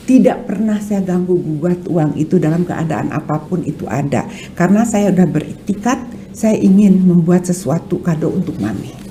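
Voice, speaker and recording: Over noticeable background noise, a woman with a fairly low pitch talks with hardly any pauses and ordinary pitch variation. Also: moderate pace. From West Java (Sundanese). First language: Sundanese (speaking Indonesian). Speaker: art dealer and film producer. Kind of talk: podcast interview. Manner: hesitant, with fillers.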